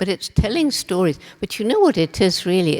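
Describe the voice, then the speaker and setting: A woman speaks with a British accent over noticeable background noise. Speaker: ethologist and conservationist. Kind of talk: interview answer.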